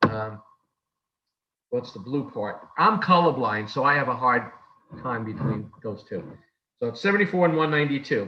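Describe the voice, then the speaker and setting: With lively intonation and a New York accent, a man talks at a moderate pace, broken by long, frequent pauses. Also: medium pitch for a man. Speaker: lay service leader. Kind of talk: worship service leading. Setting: video call.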